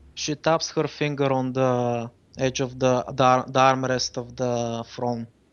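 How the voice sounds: Someone reads aloud. The voice is a natural reading voice.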